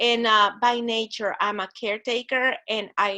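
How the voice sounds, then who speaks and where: A woman's fairly high-pitched voice in a Spanish accent, bright and sharp in tone. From Guatemala. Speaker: church ministry director. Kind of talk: interview. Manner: halting.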